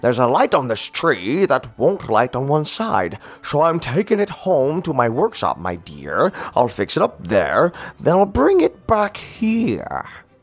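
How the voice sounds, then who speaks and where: Growling in a put-on character voice, a man pitches fairly high with very wide swings. His pace stays moderate. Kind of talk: comic character acting in an audiobook. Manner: snarling, sneering, scheming.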